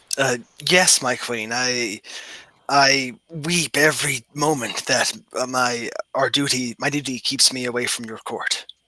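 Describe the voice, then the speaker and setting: A man puts on a character voice, keeping a medium pitch and a fairly slow pace. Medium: actual play. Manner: formal, courtly.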